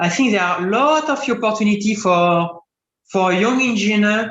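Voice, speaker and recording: There is audible room echo as a man with a French accent talks at a moderate pace in a high pitch. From France. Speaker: composites engineering expert. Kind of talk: Q&A answer in webinar lecture. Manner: halting, many fillers and restarts.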